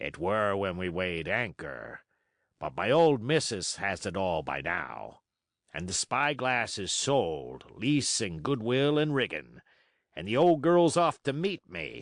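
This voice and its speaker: Over a quiet background, a man uses a raspy put-on character voice at a fairly low pitch with very wide pitch swings. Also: fairly slow pace. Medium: read story. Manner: folksy, boastful, persuasive.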